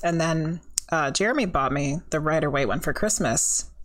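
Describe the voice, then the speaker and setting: A woman with an American accent talks at a moderate pace with ordinary pitch variation. The recording is very clean, with a silent background. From California. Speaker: podcast host and psychic medium. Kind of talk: casual chat.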